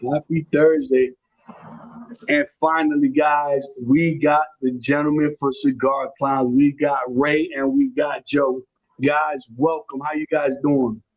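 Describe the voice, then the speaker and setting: A man with a New York accent speaks at a very slow pace in a fairly high, monotone, flat voice. The sound is dry and close with no echo. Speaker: podcast host. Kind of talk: casual chat. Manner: halting.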